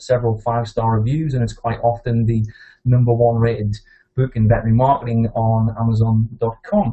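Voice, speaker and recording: Here a man with a northeast English accent talks at a fairly quick pace. His medium-pitched, somewhat breathy voice keeps a fairly even intonation. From northeast England. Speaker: veterinary practice consultant and author. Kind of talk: webinar presentation. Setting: webinar call.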